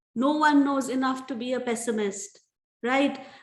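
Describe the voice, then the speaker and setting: The woman's pitch sits high, and her pace is fairly slow. Audible room echo surrounds her voice. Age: young. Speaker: motivational speaker. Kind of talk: motivational talk. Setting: video call. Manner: earnest.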